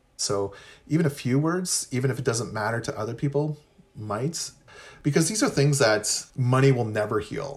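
This man speaks with a Canadian accent at a medium pitch. His voice is somewhat breathy. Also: lively intonation, moderate pace. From Ontario, Canada (Anishinaabe, Pikwakanagan). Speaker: professor. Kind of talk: interview.

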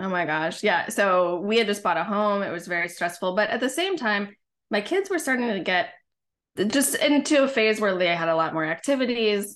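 Hers is a normal speaking voice, medium in pitch with lively intonation. The woman keeps a moderate pace against a quiet background. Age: 40s. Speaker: women's leadership coach. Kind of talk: casual interview chat.

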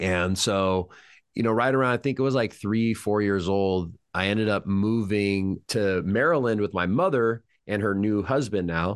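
A Californian accent at a moderate pace, with very even loudness, ordinary pitch variation and a quiet background. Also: man, fairly low pitch for a man. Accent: General American (Californian). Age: 30s. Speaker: hypnotist. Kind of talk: casual interview chat.

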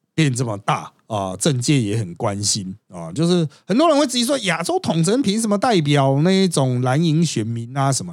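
The man keeps a moderate pace with hardly any pauses. His fairly high pitch makes very wide swings. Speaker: podcast host and political commentator. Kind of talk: casual chat.

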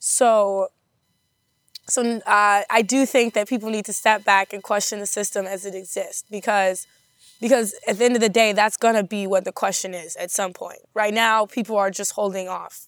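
A medium-pitched woman with an American accent speaks at a moderate pace, her intonation fairly even but her loudness swinging widely, on a very clean recording with a silent background. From Madison, Wisconsin. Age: 20s. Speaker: grassroots activist. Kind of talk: interview. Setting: studio. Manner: halting, many fillers.

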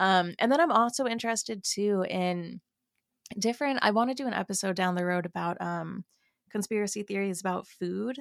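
The speaker uses a plain, everyday voice at a fairly quick pace with ordinary pitch variation. The sound is dry and close, with no echo. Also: woman, medium pitch for a woman. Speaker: podcaster and gossip creator. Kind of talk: casual podcast chat. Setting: remote recording, online call. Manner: casual, self-deprecating, chatty.

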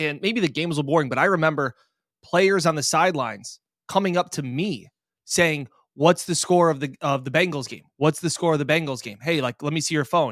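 A man with a plain, everyday voice, fairly high in pitch with ordinary pitch variation, in a dry, close recording with no echo, very clean and with a silent background. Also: fairly quick pace. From Rochester, New York. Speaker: sports reporter. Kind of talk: casual chat.

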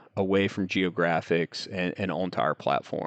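With a very deep, low voice, a man in an American accent delivers his lines in a flat monotone. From US South, North Carolina foothills. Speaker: startup co-founder, geoscientist. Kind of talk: interview. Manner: halting.

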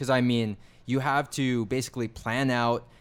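A man talks at a moderate pace in a medium pitch, with a plain, everyday voice. The recording is very clean, with a silent background. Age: 20s. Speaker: affiliate marketer and YouTuber. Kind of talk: casual chat.

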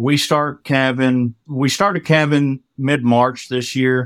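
A fairly high-pitched man with a West Texas accent, fairly slow and fairly even in intonation, in a dry, close sound with no echo. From Texas Panhandle. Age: 40s. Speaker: farmer. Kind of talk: casual chat.

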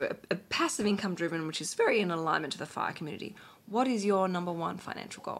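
A woman with an Australian accent at medium pitch, ordinary pitch variation and a very fast pace, over noticeable background noise. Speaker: podcast host and financial planner. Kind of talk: interview podcast chat. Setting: recording at home.

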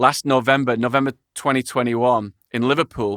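In a very clean recording with a silent background and a dry, close sound with no echo, a man with a medium pitch and a bright, sharp tone speaks at a moderate pace with fairly even intonation. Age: 30s. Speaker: podcast host. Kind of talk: casual interview chat.

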